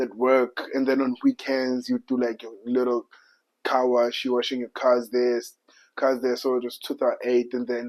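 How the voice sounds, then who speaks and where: A man's medium-pitched voice with a South African accent. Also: dry, close sound with no echo. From South Africa, Soweto. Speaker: podcast guest. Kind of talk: casual chat. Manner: halting.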